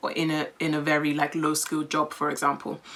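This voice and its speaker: Very fast and very deep, a woman's voice comes through with an English accent and a very low pitch. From England, London. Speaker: content creator, vlogger. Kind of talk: casual Q&A vlog.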